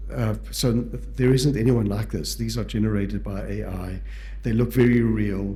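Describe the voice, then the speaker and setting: A man speaks with a South African accent. Noticeable background noise and audible room echo surround his voice. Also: moderate pace. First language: Portuguese. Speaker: palliative care physician and educator. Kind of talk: lecture. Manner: halting.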